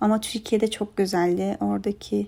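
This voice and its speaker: A woman's medium-pitched voice with a dark, mellow tone, at a moderate pace, in a very clean recording with a silent background. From Afghanistan, then southern Turkey. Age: 20s. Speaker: interior design student. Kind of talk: interview answers.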